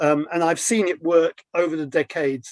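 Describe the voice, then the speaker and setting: A British accent with ordinary pitch variation in a dry, close sound with no echo. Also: man. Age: 70s. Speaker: financial journalist. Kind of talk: interview discussion. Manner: hesitant, many fillers.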